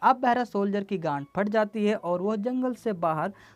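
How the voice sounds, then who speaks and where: A woman with a medium pitch and lively intonation, music in the background. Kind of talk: film plot recap narration. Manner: casual, slangy.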